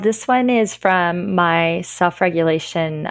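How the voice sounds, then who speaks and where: A woman's fairly low voice with a Canadian accent and ordinary pitch variation. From Northern Ontario, Canada. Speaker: kindergarten and grade one French immersion teacher. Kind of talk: podcast interview.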